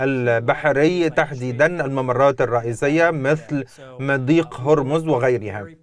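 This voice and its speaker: Speech comes at a very slow pace with hardly any pauses. Light background noise is present, and the sound is dry with no echo. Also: man, fairly high pitch for a man, ordinary pitch variation. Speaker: navy spokesperson. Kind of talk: TV news interview. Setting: remote video link. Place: studio. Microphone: lapel.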